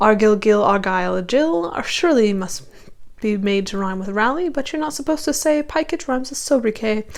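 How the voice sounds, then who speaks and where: Over noticeable background noise, a woman speaks at a fairly quick pace. Her pitch is fairly high and swings very widely. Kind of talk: poetry reading.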